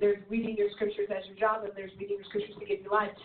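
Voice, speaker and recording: Over noticeable background noise, a woman speaks in a fairly high voice with monotone, flat intonation. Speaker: church leader panelist. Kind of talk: ministry teaching discussion. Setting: internet radio show.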